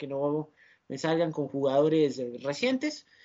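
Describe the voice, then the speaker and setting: A man at a moderate pace. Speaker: football podcast host. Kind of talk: sports analysis chat.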